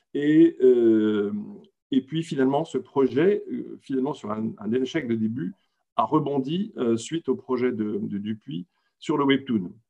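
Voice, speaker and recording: A man speaks very slowly at a medium pitch, with a dark, mellow tone. His intonation is lively. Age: 60s. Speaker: retired comics publisher. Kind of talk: panel discussion.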